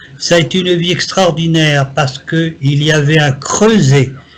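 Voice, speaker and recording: A man speaks at a very slow pace with a fairly high pitch. Noticeable background noise runs under his voice. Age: 70s. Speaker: psychic. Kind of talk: interview.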